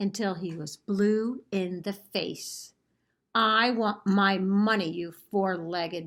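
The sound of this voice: In quiet surroundings, someone reads in an unforced reading voice.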